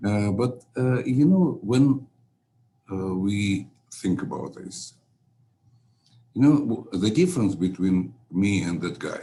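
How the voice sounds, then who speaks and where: A man speaks at a very slow pace with long, frequent pauses. His pitch is fairly low and his intonation lively. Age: 70s. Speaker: scientist, former physician. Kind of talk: interview. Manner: halting, many fillers.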